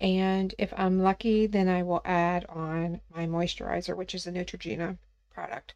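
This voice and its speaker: A woman's ordinary speaking voice, fairly low in pitch, with fairly even intonation at a moderate pace. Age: 50s. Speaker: podcast co-host. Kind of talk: casual chat.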